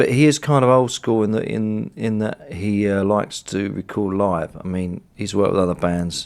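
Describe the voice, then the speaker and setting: A plain, everyday voice moves at a moderate pace with ordinary pitch variation. There are hardly any pauses, and the recording is very clean with a silent background. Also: man, fairly low pitch for a man. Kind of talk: interview answer.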